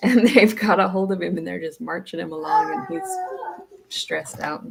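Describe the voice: A woman puts on a character voice that is hoarse and croaky. She speaks at a moderate pace.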